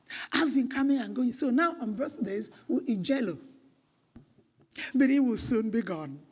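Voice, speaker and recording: Speaking in a high pitch with an animated tone and lively intonation, a woman keeps a moderate pace broken by long, frequent pauses, with audible room echo around her. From Nigeria. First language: Nigerian native language. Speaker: children's home director. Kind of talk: church talk.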